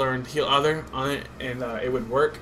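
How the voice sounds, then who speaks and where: Over noticeable background noise and audible room echo, a man speaks at a fairly quick pace with fairly even intonation. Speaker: gaming commentator. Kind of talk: gameplay commentary. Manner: naturally fast.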